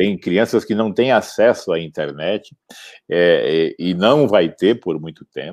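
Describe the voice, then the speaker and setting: In a normal speaking voice, a man with fairly low pitch talks at a fairly slow pace against a quiet background, the sound dry and close with no echo. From Campo Grande, Brazil. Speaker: entrepreneur, founder of a consumer complaints website. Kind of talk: interview.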